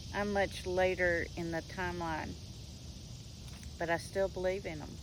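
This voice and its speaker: Speaking at a moderate pace, a woman talks with a Southern US accent. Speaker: homesteading and faith vlogger. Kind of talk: casual monologue on faith and folklore.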